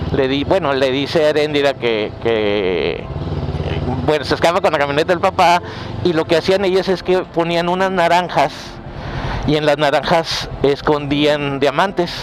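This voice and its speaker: Noticeable background noise behind a man's fairly high voice, fairly slow in pace, with ordinary pitch variation and very even loudness. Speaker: motorcycle vlogger and storyteller. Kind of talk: casual storytelling to camera while riding a motorcycle. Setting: outdoors on a motorcycle. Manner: casual, conversational, with hesitations and fillers.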